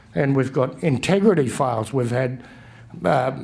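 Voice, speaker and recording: With an Australian accent, a man talks at a moderate pace with lively intonation, and audible room echo surrounds his voice. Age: 60s. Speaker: election candidate. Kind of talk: campaign speech. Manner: halting.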